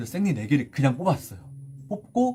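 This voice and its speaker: Music plays in the background as a man talks at a moderate pace with very wide pitch swings. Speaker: K-pop idol singer and rapper. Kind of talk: casual livestream chat. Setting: Instagram live stream. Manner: casual conversational.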